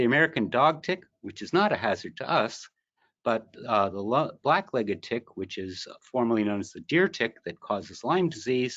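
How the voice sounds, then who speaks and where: A man at medium pitch speaks at a moderate pace, his pitch swinging very widely. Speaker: entomologist and pest management educator. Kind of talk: webinar presentation.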